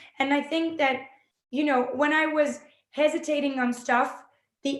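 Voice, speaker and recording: With a French accent, a woman speaks at a high pitch and a moderate pace. Her intonation stays fairly even. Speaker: film director and actress. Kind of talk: interview. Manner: halting.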